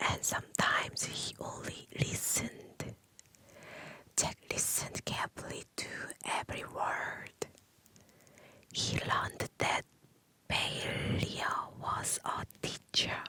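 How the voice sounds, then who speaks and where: In a whisper, the speaker moves at a very slow pace with long, frequent pauses. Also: woman. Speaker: ASMR creator learning English. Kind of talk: ASMR story reading. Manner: whispered, soft, slow.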